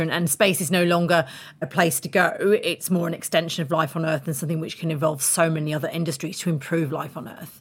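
This woman talks at a very fast pace in a fairly low pitch. Her voice is somewhat breathy. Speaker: podcast host. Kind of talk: interview podcast, moderated discussion. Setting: remote video call with guests.

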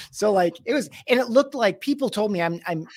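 Against a silent background, a man is heard on a very clean recording. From US Midwest, Michigan. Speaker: business executive and podcast host. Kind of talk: interview conversation.

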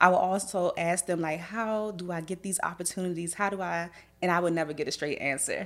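In a very clean recording with a silent background, a woman with an American accent uses an ordinary speaking voice at a fairly low pitch, with ordinary pitch variation and a fairly quick pace. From Washington DC. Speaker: makeup artist and beauty educator. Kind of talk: podcast interview. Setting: studio, in person.

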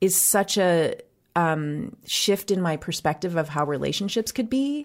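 An ordinary speaking voice with an American accent and lively intonation, on a very clean recording with a silent background. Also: woman. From US Midwest. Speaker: writer and podcast host. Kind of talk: casual interview.

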